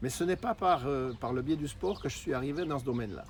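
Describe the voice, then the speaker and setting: Speaking at a moderate pace, a man with a fairly high pitch uses ordinary pitch variation. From Switzerland. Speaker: marketing presenter, former diving professional. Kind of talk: sales pitch. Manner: hesitant, many fillers.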